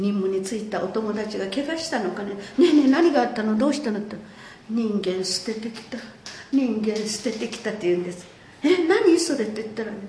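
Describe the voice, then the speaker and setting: A woman talks at a fairly quick pace with lively intonation and big swings in loudness. Noticeable background noise and audible room echo are present. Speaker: war survivor and peace museum director. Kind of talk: testimony.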